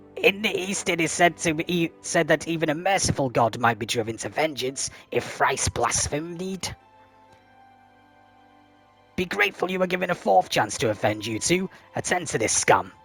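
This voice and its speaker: A man's put-on character voice, high-pitched and sinister, menacing in tone, at a moderate pace with long, frequent pauses and faint music in the background. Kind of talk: formal, archaic.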